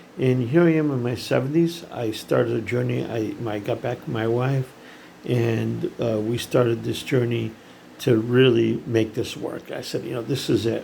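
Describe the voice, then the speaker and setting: Noticeable noise sits behind a voice whose pitch varies in an ordinary way. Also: man. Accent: American. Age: 70s. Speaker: startup founder, CEO. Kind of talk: casual monologue to camera. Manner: halting, many fillers.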